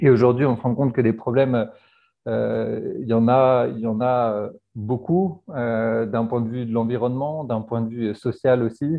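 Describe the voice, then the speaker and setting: His intonation is fairly even. A man speaks with a medium pitch. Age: 30s. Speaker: entrepreneur. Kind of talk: monologue portrait interview. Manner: hesitant with many fillers and repetitions.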